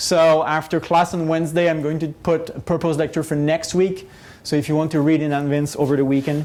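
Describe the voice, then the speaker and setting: This man has a high pitch and speaks with a non-native accent. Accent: non-native English, noticeable. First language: not English. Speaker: professor. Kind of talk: lecture. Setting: classroom, recorded on camera. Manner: hesitant, many fillers.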